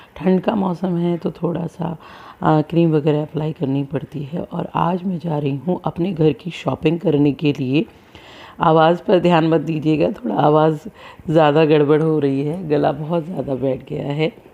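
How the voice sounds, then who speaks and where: A woman speaks at a fairly slow pace in a very deep, low voice with fairly even intonation, over noticeable background noise. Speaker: vlogger, mother of two. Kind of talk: casual vlog.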